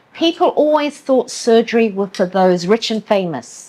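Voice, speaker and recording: A woman with an English accent and very wide pitch swings, on a very clean recording with a silent background. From England. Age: 70s. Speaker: medical tourism company owner. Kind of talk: podcast interview.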